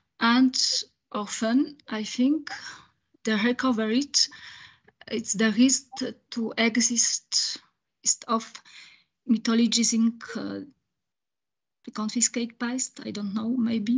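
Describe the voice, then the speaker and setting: A woman with a French accent speaks at a very slow pace in a fairly high, monotone, flat voice, with big swings in loudness. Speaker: audience member asking question. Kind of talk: Q&A question after lecture. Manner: halting, many hesitations.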